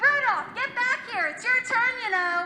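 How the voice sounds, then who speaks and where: A woman uses a squeaky, put-on character voice at a moderate pace. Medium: stage play. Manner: loud, commanding.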